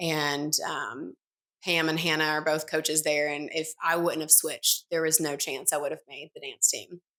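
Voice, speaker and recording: The speaker has a Tennessee accent, a bright, sharp tone and monotone, flat intonation. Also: woman, very deep, low pitch for a woman, moderate pace. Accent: Southern US (Tennessee). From US South, East Tennessee. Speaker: entrepreneur, former college dancer. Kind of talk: podcast interview.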